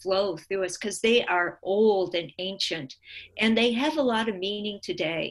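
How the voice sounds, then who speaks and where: The woman has an ordinary speaking voice, medium in pitch, with ordinary pitch variation. Her recording is very clean, with a silent background. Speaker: guest, story scholar. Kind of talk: casual discussion and interview. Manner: thoughtful, relaxed, frequent 'mm-hmm' backchannels.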